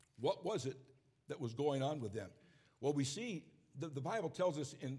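A man with an American accent, a fairly high pitch and a dark, mellow tone, somewhat breathy, with lively intonation. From upstate New York. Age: 70s. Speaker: preacher. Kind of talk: sermon. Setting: church service.

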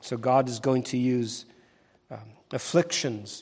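A medium-pitched man at a moderate pace, an unremarkable speaking voice, in a very clean recording with a silent background. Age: 60s. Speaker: pastor. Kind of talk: sermon. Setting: church.

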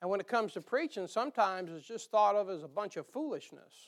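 Talking at a fairly quick pace, a man with a high pitch speaks in an American accent. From northern US. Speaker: pastor teaching Bible study. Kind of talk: sermon-style Bible study. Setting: church congregation. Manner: folksy, with frequent filler uh.

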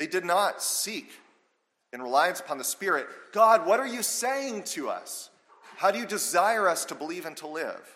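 With audible room echo, a man raises and projects a high-pitched voice full of lively intonation. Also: moderate pace, big swings in loudness. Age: 30s. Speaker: pastor. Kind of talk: sermon.

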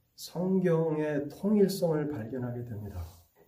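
Very slow speech from a man, fairly high in pitch, somewhat breathy, with a dark, mellow tone and audible room echo. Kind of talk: sermon.

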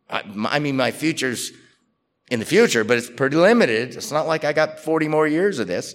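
At a fairly quick pace, a man with an unremarkable speaking voice talks at a fairly high pitch with lively intonation. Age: 60s. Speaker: pastor. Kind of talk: sermon.

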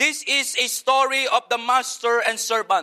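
Speaking in a Filipino accent, a man uses a raised, projected voice at an extremely high pitch with a bright, sharp tone, at a fairly slow pace in a dry, close sound with no echo. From Philippines. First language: Filipino language. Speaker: missionary pastor. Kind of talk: sermon. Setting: church.

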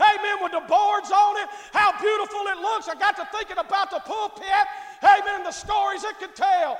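A man speaks at an extremely high pitch in monotone, flat intonation. His pace is fairly quick, with hardly any pauses. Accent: Southern US. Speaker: pastor. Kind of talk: sermon. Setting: church.

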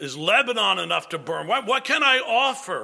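A man's raised, projected voice at an extremely high pitch, with very wide pitch swings and a fairly slow pace. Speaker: pastor. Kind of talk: sermon.

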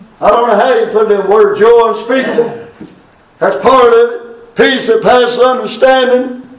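Over noticeable background noise, a man with an extremely high voice speaks at a moderate pace. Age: 60s. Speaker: preacher. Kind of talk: sermon. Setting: funeral service.

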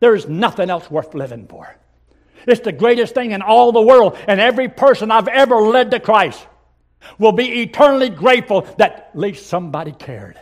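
High-pitched male speech at a fairly quick pace, with lively intonation and big swings in loudness. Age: 80s+. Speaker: visiting pastor. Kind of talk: sermon. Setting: church.

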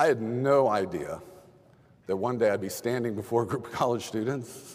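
With an American accent, a man speaks over noticeable background noise. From Texas. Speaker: pastor. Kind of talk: sermon.

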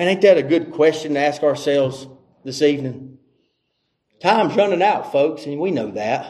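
A man with a Southern US accent speaks at a fairly high pitch with ordinary pitch variation. He leaves long, frequent pauses. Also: moderate pace. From North Carolina. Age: 40s. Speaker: visiting preacher. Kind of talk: sermon. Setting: church.

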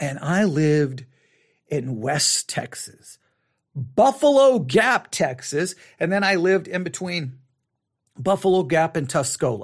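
Spoken at a fairly slow pace, the clip is a very clean recording with a silent background. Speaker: podcast host. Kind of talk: live commentary and reaction to a replayed sermon. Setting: live broadcast from an upstairs room. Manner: skeptical, mocking, conversational.

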